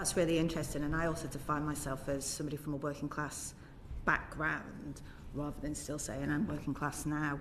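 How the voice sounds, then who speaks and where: A woman's very deep, low voice at a fairly quick pace, monotone and flat, with audible room echo. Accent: northern English. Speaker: politician, committee member. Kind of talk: committee questioning. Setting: parliamentary committee hearing.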